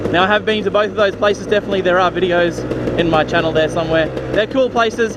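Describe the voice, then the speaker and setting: A very fast pace comes with an Australian accent and ordinary pitch variation. Noticeable background noise sits behind the voice. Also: man, high pitch for a man, very even loudness. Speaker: motorcycle vlogger. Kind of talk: Q&A vlog, casual chat.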